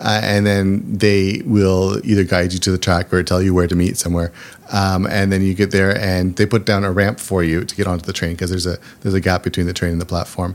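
With a Canadian accent, a man talks fairly quickly in a very deep, low voice and flat, monotone intonation, with noticeable background noise behind him. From Canada, small town outside Toronto. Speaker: accessibility advocate and travel website founder. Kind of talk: interview.

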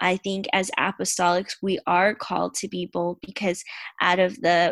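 A woman talks with an American accent at a medium pitch, with vocal fry. The sound is dry and close with no echo. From Tampa, Florida, US. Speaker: church member and aspiring surgeon. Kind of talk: testimony.

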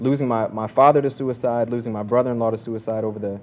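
A man with an American accent has a normal speaking voice at a medium pitch. He talks at a fairly quick pace with fairly even intonation. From Kentucky, US. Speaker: recording artist, rapper. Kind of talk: roundtable discussion.

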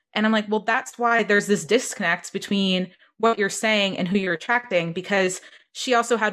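In a plain, everyday voice, a woman speaks at a fairly quick pace with fairly even intonation and a medium pitch, on a very clean recording with a silent background. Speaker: marketing mentor and podcast host. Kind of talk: casual interview chat.

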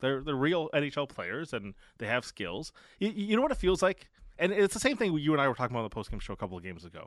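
Against a quiet background, a man with vocal fry races along at a very fast pace, with very wide pitch swings and big swings in loudness. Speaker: sports radio co-host. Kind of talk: postgame sports talk radio. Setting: studio.

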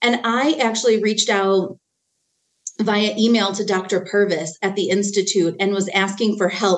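A woman speaks in a plain, everyday voice at medium pitch and a moderate pace. Her loudness stays very even and her intonation fairly even. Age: 40s. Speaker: parenting trainer. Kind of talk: casual chat.

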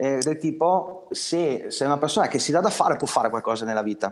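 Lively intonation carries speech that moves fairly quickly. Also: man. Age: 30s. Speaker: electrician and business owner. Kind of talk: interview.

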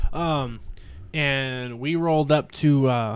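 A man talks with an American accent at a fairly high pitch. The recording is very clean, with a silent background. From southern California. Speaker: podcast co-host. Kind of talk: casual chat. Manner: animated.

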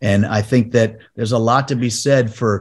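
An ordinary speaking voice at a moderate pace, with fairly even intonation over a quiet background. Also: man. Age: 50s. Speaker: golf broadcaster. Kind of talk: casual chat.

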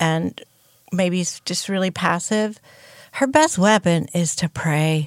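On a very clean recording with a silent background, a woman speaks at a moderate pace. She has an unremarkable speaking voice with a medium pitch and ordinary pitch variation. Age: 60s. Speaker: pastor's wife. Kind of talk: casual chat.

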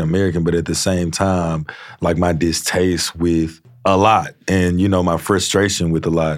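With a very deep, low voice, a man talks at a moderate pace. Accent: Louisiana. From Louisiana (Shreveport). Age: 20s. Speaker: country singer. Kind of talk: casual chat. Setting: studio.

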